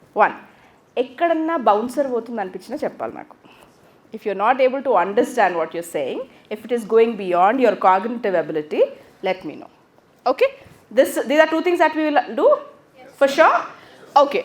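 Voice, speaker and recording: A woman with an Indian accent speaks high, with very wide pitch swings and big swings in loudness. She pauses long and often. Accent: Indian English, Telugu. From South India, Telugu-speaking. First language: Telugu. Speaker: English teacher. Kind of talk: classroom lecture. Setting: classroom with microphone. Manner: fast.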